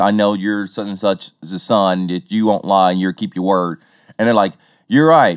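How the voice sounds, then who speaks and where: This man speaks with a Southern US accent and a fairly low pitch. His intonation stays fairly even. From Tennessee. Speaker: podcast host. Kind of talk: casual chat.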